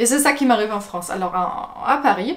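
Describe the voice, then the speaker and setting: Speaking in a German accent, a woman talks at a fairly quick pace with very wide pitch swings. Noticeable background noise is present. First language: German (speaking French). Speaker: video blogger. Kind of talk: casual vlog monologue. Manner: hesitant, many fillers.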